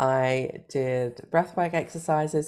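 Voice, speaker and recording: A woman with a British accent, fairly even intonation, and a very clean recording with a silent background. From Britain. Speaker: life coach and cancer survivor. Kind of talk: interview.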